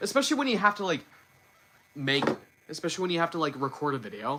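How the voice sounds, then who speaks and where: A man talks very fast at a fairly high pitch with very wide pitch swings, over noticeable background noise. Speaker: YouTuber doing news and reviews. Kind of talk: live stream chat. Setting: live stream. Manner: slurred, repeats words; halting.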